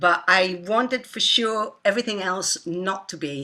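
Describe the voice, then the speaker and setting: A woman's bright, sharp voice at medium pitch, moderate pace and ordinary pitch variation. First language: not English. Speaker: composer and artist. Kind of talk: interview. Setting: online talk. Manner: halting.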